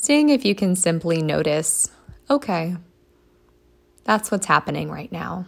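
A woman with a fairly low pitch speaks in a calm, gentle tone at a fairly slow pace, with very wide pitch swings and long, frequent pauses. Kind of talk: guided meditation. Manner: slow, calm and gentle, with long pauses; soothing, soft-spoken.

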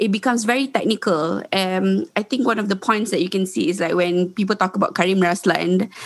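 A woman's ordinary speaking voice at medium pitch, with ordinary pitch variation and a fairly quick pace. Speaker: activist and lawyer. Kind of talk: interview discussion.

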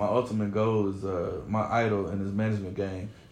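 This man has an American accent and a fairly low pitch. His intonation stays monotone and flat. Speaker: artist manager. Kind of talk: casual chat.

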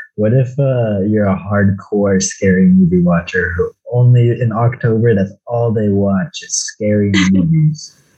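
A somewhat breathy man with a fairly low pitch, ordinary pitch variation and a fairly slow pace. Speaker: podcast host. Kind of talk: casual chat about a movie.

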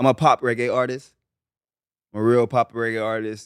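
A man's medium-pitched voice, monotone and flat, on a very clean recording with a silent background and a dry, close sound with no echo. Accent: Barbadian. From Barbados, St. Joseph. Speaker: pop reggae singer. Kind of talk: casual chat.

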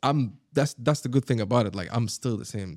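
At a moderate pace, a voice with an Arabic accent comes through dry and close with no echo on a very clean recording with a silent background. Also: man. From Sharjah, UAE. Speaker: rapper and former skateboarder. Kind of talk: casual interview chat. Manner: animated, filler-heavy, repeats words.

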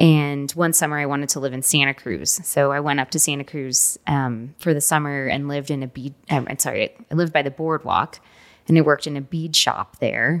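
A fairly quick pace in an American accent, with fairly even intonation. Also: woman, very deep, low pitch for a woman. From Texas, Houston. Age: 40s. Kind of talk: interview. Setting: studio.

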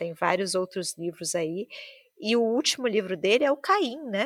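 Heard dry and close with no echo, a woman with a normal speaking voice and medium pitch talks at a moderate pace. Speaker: podcast host. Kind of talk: casual chat.

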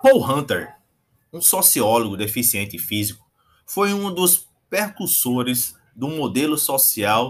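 Lively intonation at a very slow pace. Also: man. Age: 40s. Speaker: podcast host. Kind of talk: scripted narration.

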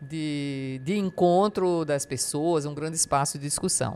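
A woman is speaking. Her pace is fairly slow. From Brazil, Paraíba sertão. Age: 60s. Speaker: writer and retired professor, caregiver. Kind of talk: interview. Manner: halting, many repetitions.

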